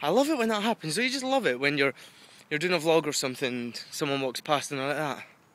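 Talking at a very fast pace, a man with a fairly high pitch uses lively intonation in a dry sound with no echo. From UK. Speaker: video blogger. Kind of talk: casual vlog monologue. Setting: outdoors walking dog in woods. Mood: frustrated yet chatty. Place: forest. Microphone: phone near.

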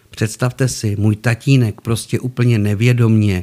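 A man talks in a mid-range pitch that rises and falls normally. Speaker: storyteller. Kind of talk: storytelling monologue. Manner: animated; stutter.

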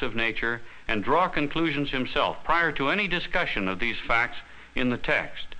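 Delivered at a fairly quick pace, the voice has a bright, sharp tone and lively intonation. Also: man. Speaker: chemistry course teacher or developer. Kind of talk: explanatory newsreel interview. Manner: formal, measured. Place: studio.

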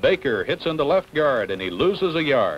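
A man's fairly high voice with vocal fry. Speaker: game announcer narrator. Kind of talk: 1960 Cotton Bowl newsreel/broadcast narration; sports film narration, play-by-play. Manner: formal, brisk announcer delivery. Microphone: old recording.

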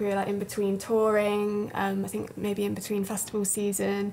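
There is light background noise. A woman talks at a fairly quick pace. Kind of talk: interview answer. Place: studio.

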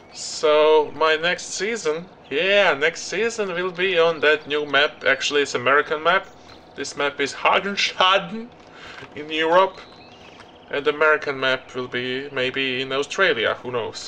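A man's speech shows ordinary pitch variation, with light background noise behind it. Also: fairly slow pace. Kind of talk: gameplay commentary. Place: home room.

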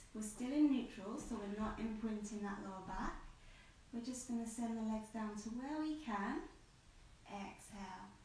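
Light background noise along with audible room echo. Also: woman. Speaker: Pilates instructor. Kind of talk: tutorial. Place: home room. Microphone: camera far.

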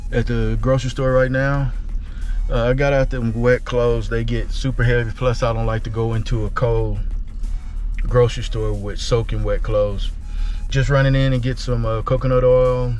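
Faint music plays in the background as a man talks at a moderate pace. The sound is dry, with no echo. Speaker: trucker vlogger. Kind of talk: casual vlog chat. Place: car. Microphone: phone near.

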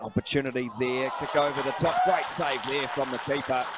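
A man talks at a medium pitch and a moderate pace. Background noise is noticeable. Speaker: football commentator. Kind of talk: live football commentary. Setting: stadium match broadcast.

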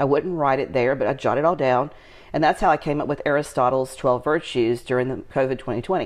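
Against a quiet background, a woman talks very fast at a very deep, low pitch with fairly even intonation. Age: 50s. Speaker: lifestyle entrepreneur and channel host. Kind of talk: casual chat. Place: home room.

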